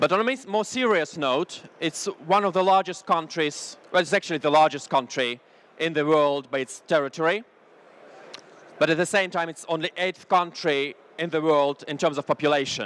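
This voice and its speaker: His pitch is fairly high for a man, and it moves with ordinary variation. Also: moderate pace, dry, close sound with no echo. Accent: Russian. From Russia. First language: Russian. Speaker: business consultant. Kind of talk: business presentation. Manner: halting, frequent uh fillers.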